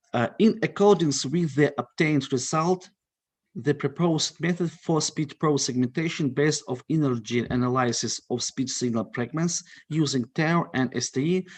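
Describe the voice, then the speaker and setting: A man talks at a fairly high pitch and a moderate pace, with ordinary pitch variation. The background is quiet. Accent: Russian. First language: Russian. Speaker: conference presenter. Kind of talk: conference presentation.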